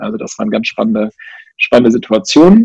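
A man's voice in a dry, close sound with no echo. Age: 30s. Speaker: entrepreneur and author. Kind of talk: interview.

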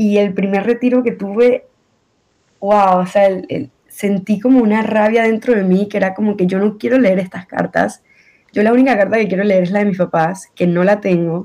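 A woman at medium pitch and moderate pace, her intonation fairly even. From Venezuela. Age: 20s. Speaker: accident survivor. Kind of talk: testimony.

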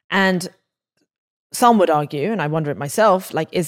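On a very clean recording with a silent background, a woman with an English accent speaks at a moderate pace. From England. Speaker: podcast host. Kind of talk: interview conversation.

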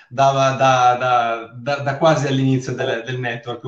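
Noticeable background noise beneath a fairly slow pace of speech. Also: man. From Sardinia. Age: 40s. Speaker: network marketing seller. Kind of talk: interview testimony. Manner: halting, repeats words.

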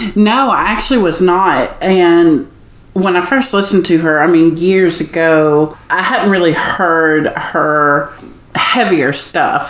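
A woman talks at a fairly slow pace. Noticeable background noise and audible room echo surround her voice. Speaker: singer. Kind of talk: casual interview.

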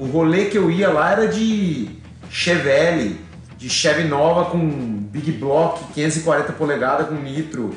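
A man's fairly high voice at a very slow pace, with audible room echo and noticeable background noise. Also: ordinary pitch variation. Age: 40s. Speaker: drag racing driver. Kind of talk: casual chat.

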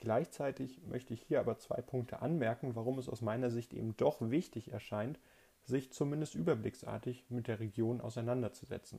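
A man's somewhat breathy voice of medium pitch, dark and mellow in tone, with ordinary pitch variation at a moderate pace. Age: 20s. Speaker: podcast host, politics student. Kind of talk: solo podcast monologue, scripted. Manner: formal.

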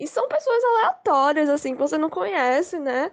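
A woman speaks with pitch that swings very widely. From Recife, Pernambuco, Brazil. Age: 20s. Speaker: frevo dancer. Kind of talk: storytelling.

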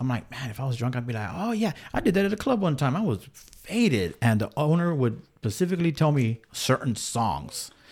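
An American-accented man with a somewhat breathy medium-pitched voice talks fairly quickly with hardly any pauses and very wide pitch swings. The recording is very clean with a silent background. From Texas, San Angelo. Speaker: radio DJ. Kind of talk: casual chat. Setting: studio.

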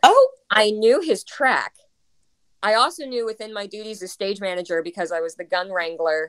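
A woman talks in a normal speaking voice at a medium pitch and a moderate pace. Her intonation is lively. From US Northeast (South Brooklyn, New York). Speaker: stage manager and performer. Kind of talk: casual chat.

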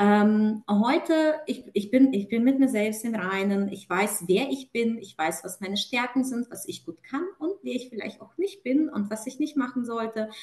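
At a fairly slow pace and with hardly any pauses, a woman with a fairly high pitch speaks with lively intonation. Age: 30s. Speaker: client and corporate manager. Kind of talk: testimony. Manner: hesitant with fillers.

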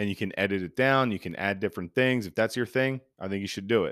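On a very clean recording with a silent background, a man speaks with a fairly low pitch and ordinary pitch variation. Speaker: podcast host. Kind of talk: casual solo talk. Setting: home recording. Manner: hesitant, many filler words.

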